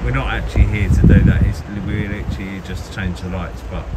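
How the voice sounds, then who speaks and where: Loud background noise fills the clip. A man speaks with ordinary pitch variation. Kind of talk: casual vlog chat. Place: street. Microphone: phone near.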